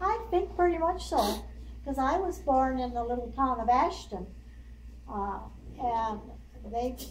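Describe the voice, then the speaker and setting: This woman talks at a fairly slow rate, leaving long, frequent pauses. Behind her there is noticeable background noise. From South Dakota. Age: 80s+. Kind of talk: interview answer.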